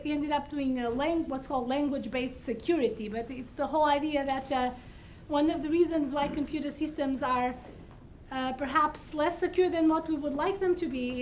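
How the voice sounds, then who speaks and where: A woman speaks in a high voice at a moderate pace. Her intonation is fairly even, with light background noise. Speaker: faculty host introducing speaker. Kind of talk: speaker introduction. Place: hall.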